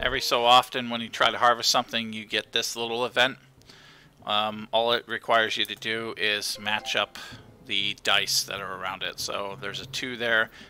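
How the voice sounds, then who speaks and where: In a very clean recording with a silent background, a man with medium pitch speaks quietly at a moderate pace in a relaxed, bright, sharp tone with monotone, flat intonation. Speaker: gaming streamer. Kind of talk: live gameplay commentary.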